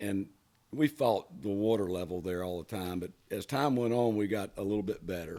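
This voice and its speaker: A relaxed voice with a dark, mellow tone. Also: man, fairly low pitch for a man, ordinary pitch variation, moderate pace. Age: 60s. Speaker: water ski lake owner and boat driver. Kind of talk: casual interview chat. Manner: relaxed, conversational with fillers.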